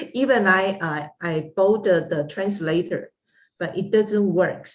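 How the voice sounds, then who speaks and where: In a Taiwanese accent, a woman speaks very slowly and somewhat breathily, with ordinary pitch variation. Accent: Taiwanese Mandarin-accented English. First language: Mandarin. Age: 60s. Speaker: art instructor and psychology consultant. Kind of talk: interview. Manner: halting, many fillers.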